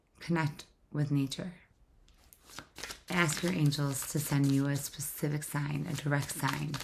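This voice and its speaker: A woman with a very deep, low, somewhat breathy voice speaks at a fairly slow pace in monotone, flat intonation, with long, frequent pauses. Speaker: tarot reader. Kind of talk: tarot reading. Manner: casual, repetitive.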